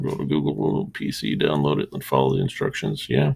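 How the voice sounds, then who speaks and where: A man keeps a moderate pace as noticeable background noise carries on around him. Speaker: livestreamer drawing and chatting with viewers. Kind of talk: casual chat. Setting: live stream. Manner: pauses mid-sentence instead of stuttering.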